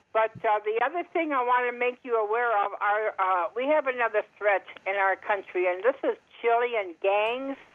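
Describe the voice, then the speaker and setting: A woman with an American accent speaks in a fairly high pitch at a moderate pace. She has a normal speaking voice with ordinary pitch variation. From Montana, US. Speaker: caller. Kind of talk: call-in discussion. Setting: phone call.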